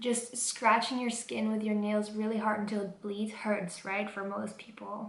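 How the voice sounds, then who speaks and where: Here a woman speaks at a fairly high pitch in a Dutch accent. There is audible room echo. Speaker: vlogger. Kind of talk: casual vlog talk.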